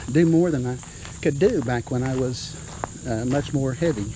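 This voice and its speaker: Amid noticeable background noise, a man with a fairly high voice speaks at a moderate pace with fairly even intonation. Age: 60s. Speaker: retired police officer. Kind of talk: interview. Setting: outdoors.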